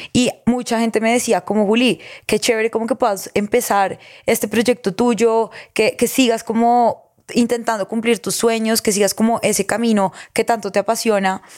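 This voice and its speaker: A woman's fairly high voice, monotone and flat, with very even loudness. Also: moderate pace, dry, close sound with no echo, very clean recording, silent background. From Colombia, Girardot. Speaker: podcast host and content creator. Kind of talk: casual interview chat.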